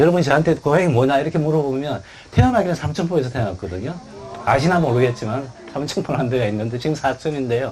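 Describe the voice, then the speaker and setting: Amid noticeable background noise, a man with a Gyeongsang accent and fairly high pitch speaks at a very fast pace with ordinary pitch variation. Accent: Gyeongsang dialect Korean. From South Korea, Busan (Gyeongsang). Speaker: author and international labour official. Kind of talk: book talk Q&A. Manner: conversational with many fillers.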